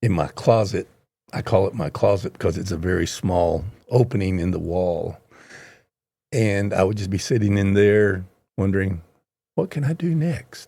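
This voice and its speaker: On a very clean recording with a silent background, a man with an American accent speaks at a moderate pace in a fairly low, dark, mellow voice, pausing long and often. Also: ordinary pitch variation. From US, Oklahoma (Hammond). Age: 70s. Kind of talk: podcast interview.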